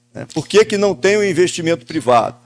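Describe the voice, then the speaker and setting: A man's high-pitched voice moves at a moderate pace, full of lively intonation. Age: 60s. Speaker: businessman and local TV owner. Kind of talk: podcast panel discussion. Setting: event venue outside the studio.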